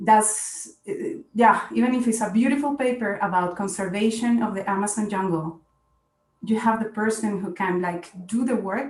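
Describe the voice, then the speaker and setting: A woman talks at a moderate pace in a fairly high voice with ordinary pitch variation. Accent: Spanish. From Colombia, Bogota. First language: Spanish. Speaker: scientist. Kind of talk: panel discussion.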